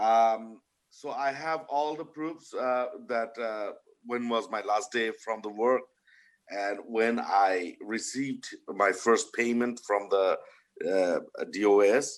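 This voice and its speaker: A man with a non-native accent talks at a very slow pace, with ordinary pitch variation. The background is quiet. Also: medium pitch for a man. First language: not English. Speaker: union member testifying at a hearing. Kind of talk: testimony. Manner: halting.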